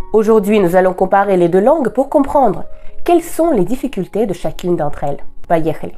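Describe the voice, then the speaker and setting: With music in the background, a woman of medium pitch speaks fairly quickly, her pitch swinging very widely. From Russia. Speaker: Russian language teacher. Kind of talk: language lesson talk to camera.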